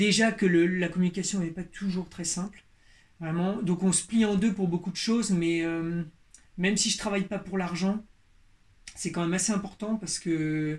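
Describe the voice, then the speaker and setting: A man with a high voice speaks in a monotone, flat way, leaving long, frequent pauses. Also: moderate pace. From Berry, central France. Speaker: leather craftsman. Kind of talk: interview. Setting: workshop. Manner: halting, many repetitions.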